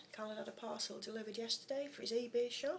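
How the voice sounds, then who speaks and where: Light background noise accompanies a woman speaking with fairly even intonation. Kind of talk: casual pet narration. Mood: fond, relaxed, amused. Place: kitchen. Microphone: phone near.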